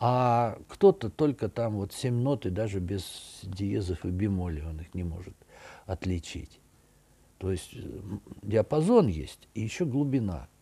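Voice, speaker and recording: A man's fairly low, somewhat breathy voice with a dark, mellow tone, lively intonation, a very slow pace and long, frequent pauses. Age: 60s. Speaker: architect and art commentator; commentator. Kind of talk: video monologue. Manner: conversational, with hesitations. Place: home room. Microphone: webcam.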